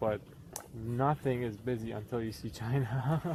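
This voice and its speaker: The man's voice sits at a medium pitch with ordinary variation. It sounds somewhat breathy. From southern Iran. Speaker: elementary and ESL teacher. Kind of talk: casual conversation. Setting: outdoors on a hiking trail.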